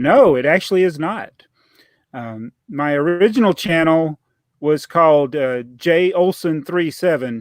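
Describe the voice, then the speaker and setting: A man talks at a fairly slow pace with a Southern US accent. His voice is fairly high-pitched with lively intonation. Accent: Southern US, country. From US South, Georgia. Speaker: LEGO YouTuber. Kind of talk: casual interview chat.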